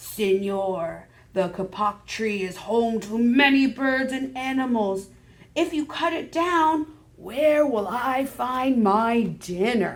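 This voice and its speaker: Using a put-on character voice, a woman growls at a very slow pace with a fairly high pitch and lively intonation. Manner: growling.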